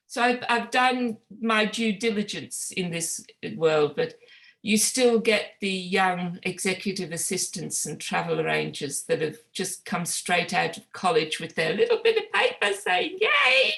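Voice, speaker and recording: A woman speaks at a fairly slow pace in a bright, sharp tone with ordinary pitch variation. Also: medium pitch for a woman. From Northeast England. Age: 60s. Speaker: author. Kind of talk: interview. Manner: halting.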